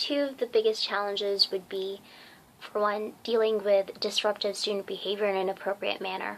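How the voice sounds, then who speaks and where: Her pitch is medium and her tone flat and monotone. The woman keeps a moderate pace. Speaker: student teacher. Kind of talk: reflective narration.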